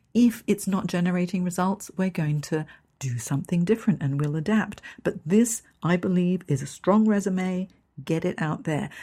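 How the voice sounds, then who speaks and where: Breathing a little through a dark, mellow tone, a woman with an English accent speaks at a medium pitch on a very clean recording with a silent background. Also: ordinary pitch variation, moderate pace. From Hong Kong. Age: 50s. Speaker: career coach. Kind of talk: podcast monologue.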